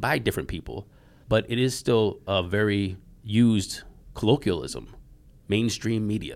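A man with a fairly low pitch talks in a normal speaking voice with an American accent. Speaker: podcast host. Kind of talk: interview conversation.

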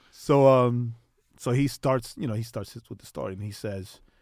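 In a New York accent, a man speaks at medium pitch and a moderate pace with ordinary pitch variation on a very clean recording with a silent background. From New York, Queens. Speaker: podcast co-host. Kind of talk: casual chat.

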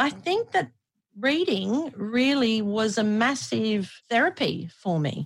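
Somewhat breathy, a woman with an Australian accent speaks at a very slow pace, with very wide pitch swings and very even loudness. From Australia (Brisbane). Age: 40s. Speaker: former radio host and athlete. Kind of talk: casual interview chat.

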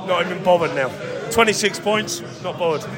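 Over noticeable background noise, a man talks at a moderate pace in a raised, projected voice. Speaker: fan. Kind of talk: casual post-match fan chat.

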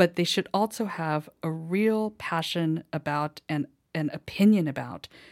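A woman speaks at a fairly slow pace in a plain, everyday voice, her pitch fairly low with ordinary variation. The recording is very clean and dry, close-up with no echo and a silent background. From US, moved around; family from Hawaii. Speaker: novelist and magazine editor. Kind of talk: interview. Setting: studio.

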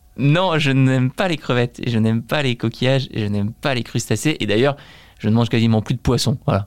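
A man talks fairly quickly at a medium pitch with ordinary pitch variation. His is a normal speaking voice, heard with a dry, close sound and no echo. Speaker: entrepreneur. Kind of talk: casual interview.

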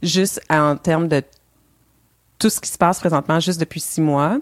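A woman's very deep, low voice with a Quebec accent. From Montreal, Quebec. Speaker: co-founder of a diversity initiative in the beer industry. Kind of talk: podcast interview.

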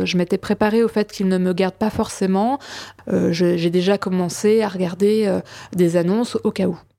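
Dry and close with no echo, a woman's voice has a dark, mellow tone on a very clean recording with a silent background. She keeps a moderate pace and fairly even intonation. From France, Champagne (village near Reims). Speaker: testimony guest. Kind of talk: personal testimony. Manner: hesitant.

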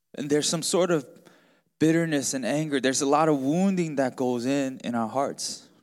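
On a very clean recording with a silent background, a man speaks in a plain, everyday voice at a moderate pace and fairly high pitch. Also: ordinary pitch variation. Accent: American. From US, Baltimore. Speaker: pastor. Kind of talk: sermon. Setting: church with congregation.

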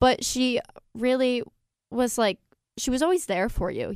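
Heard on a very clean recording with a silent background, a woman with an American accent and an ordinary speaking voice talks at a moderate pace with ordinary pitch variation. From upstate New York, Fulton County. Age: 20s. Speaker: college student and pageant titleholder. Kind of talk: radio interview.

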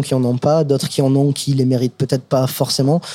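A man speaks at a fairly quick pace with a fairly high pitch. His tone is dark and mellow, and his intonation stays flat and monotone. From US, Brooklyn, New York. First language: English (speaking French). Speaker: chef. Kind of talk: casual chat. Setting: restaurant.

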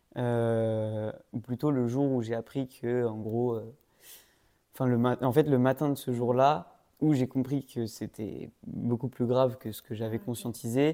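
A man speaks at a medium pitch in a dark, mellow tone. His pace is fairly slow and his intonation fairly even, on a very clean recording with a silent background. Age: 20s. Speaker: master's student and amateur musician. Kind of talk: casual chat.

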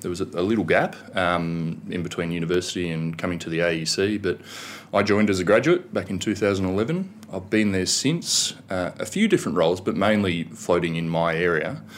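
With an Australian accent, a man talks at a fairly quick pace. His voice is very deep and low, with ordinary pitch variation. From Australia, Canberra. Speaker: government communications director. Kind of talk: interview. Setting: studio.

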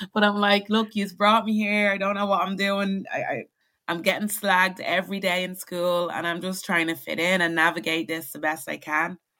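In a very clean recording with a silent background, a woman with a medium pitch and a bright, sharp tone speaks at a moderate pace with fairly even intonation. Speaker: guest talking about money. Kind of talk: casual interview chat. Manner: reflective, halting.

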